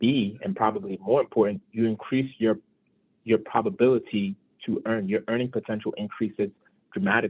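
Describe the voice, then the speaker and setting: In a New York accent, a man talks at a fairly quick pace with ordinary pitch variation. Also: medium pitch for a man. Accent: New York City. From Brooklyn, New York (Brownsville). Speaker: financial advisor. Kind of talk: motivational talk.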